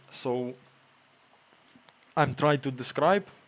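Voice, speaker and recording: This is a man speaking. He has a Ukrainian accent. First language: Ukrainian or Russian. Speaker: streamer, military translator. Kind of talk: live stream chat. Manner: halting.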